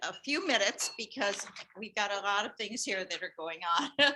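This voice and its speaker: A woman speaks loudly with a bright, sharp tone. Her fairly high voice has lively intonation. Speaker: former teacher and nurse giving a tribute. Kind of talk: tribute speech at a meeting. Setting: meeting room with audience, also on computer call.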